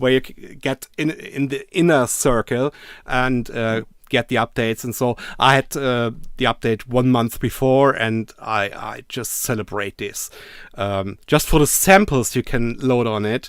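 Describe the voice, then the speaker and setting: A man with a German accent speaks at a fairly slow pace. His pitch is medium, with ordinary pitch variation. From Germany. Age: 50s. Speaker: synthesizer YouTuber. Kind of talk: casual chat. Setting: video call. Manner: halting.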